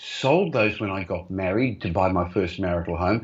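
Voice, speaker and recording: Speaking in an Australian accent, a man varies his pitch in an ordinary way. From Australia, Melbourne, migrant family. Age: 60s. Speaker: property investor and company executive. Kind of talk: interview. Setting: video call.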